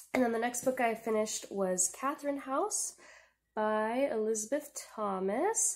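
A woman speaks at a fairly high pitch and moderate pace. Her loudness stays very even, with ordinary pitch variation. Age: 20s. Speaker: book vlogger. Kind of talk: casual book review monologue. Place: home room. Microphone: poor audio quality; webcam.

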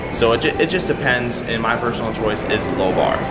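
A man at a fairly quick pace over music in the background. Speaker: fitness vlogger. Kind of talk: tutorial. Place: gym.

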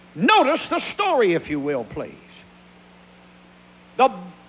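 A man is speaking here. His accent is American. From Pennsylvania. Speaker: evangelist preacher. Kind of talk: sermon. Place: church. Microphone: handheld.

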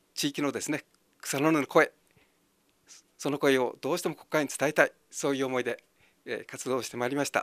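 Against a quiet background, a man with a fairly high pitch talks fairly quickly in a flat monotone, his loudness swinging widely in a dry sound with no echo. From Ibaraki, Japan (Hitachiota); Ibaraki. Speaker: election candidate. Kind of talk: campaign speech. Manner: halting. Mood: friendly, smiling, earnest. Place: empty room. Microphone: handheld.

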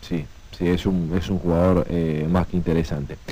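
The sound is dry, with no echo. A man talks at a moderate speed. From Argentina. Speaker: sports radio host. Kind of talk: radio sports talk. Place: studio. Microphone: studio mic.

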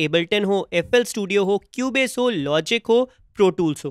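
A man with a high voice talks at a moderate pace and with lively intonation, the sound dry with no echo and the background quiet. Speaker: music producer and YouTuber; music production YouTuber. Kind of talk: tutorial. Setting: home studio.

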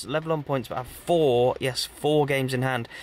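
A man is heard with light background noise and a dry sound without echo. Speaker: football vlogger. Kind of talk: casual vlog chat. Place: car.

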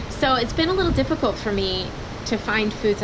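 There is noticeable background noise as a woman speaks with an American accent. Her pitch is fairly high and her pace fairly quick. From Texas. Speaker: travel vlogger. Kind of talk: casual vlog chat. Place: home room. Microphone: phone near.

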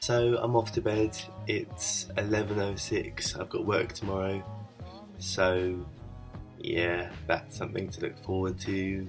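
The delivery is monotone, with flat intonation. Clear music plays in the background. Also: man, fairly low pitch for a man, fairly slow pace. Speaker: vlogger. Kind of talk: casual vlog talk to camera. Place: home room. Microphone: webcam.

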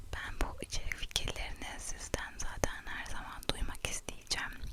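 Someone whispers at a moderate pace. Background noise is noticeable throughout. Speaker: ASMR creator. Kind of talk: whispered chat to camera. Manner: whispered, soft-spoken.

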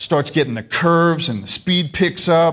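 Very slowly, a man speaks over a quiet background. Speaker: lay preacher, biker ministry member; lay preacher. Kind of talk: sermon. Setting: church service. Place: church.

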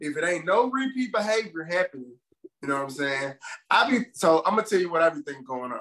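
Over a quiet background, a man speaks at a very fast pace with a high pitch. His pitch swings very widely. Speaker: podcast co-host. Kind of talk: casual podcast discussion. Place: home room. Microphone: video call.

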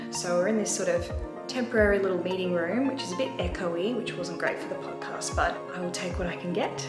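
Over clear music in the background, a woman speaks at a very fast pace. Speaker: podcast host, vlogger. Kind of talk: casual vlog chat. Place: meeting room. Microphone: phone near.

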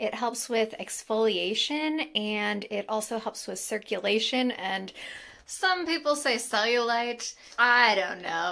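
A woman speaks with a bright, sharp tone. Her intonation is lively. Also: quiet background. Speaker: lifestyle vlogger. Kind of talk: casual product review chat. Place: bathroom. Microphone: phone near.

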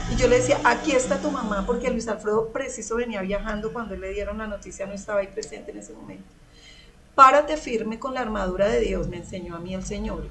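Amid noticeable background noise, a woman talks very fast at a fairly high pitch, with big swings in loudness. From Colombia, Girardot (Cundinamarca); Colombia. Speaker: churchgoer giving testimony; guest. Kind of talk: testimony. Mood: emotional, recounting hardship. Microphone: video call.

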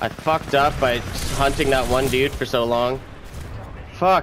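Over noticeable background noise, a man with a medium-pitched voice talks at a fairly slow pace with fairly even intonation. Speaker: gaming streamer. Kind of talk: live gameplay commentary.

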